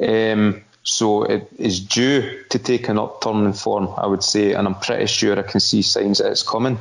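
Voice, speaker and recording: A man speaks with a Scottish accent at a moderate pace, his loudness very even. He hardly pauses at all. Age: 40s. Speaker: football pundit. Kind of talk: casual chat.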